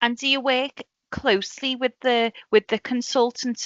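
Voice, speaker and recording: A woman with a Liverpool accent and fairly even intonation. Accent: Scouse. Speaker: podcast host. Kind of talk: podcast interview.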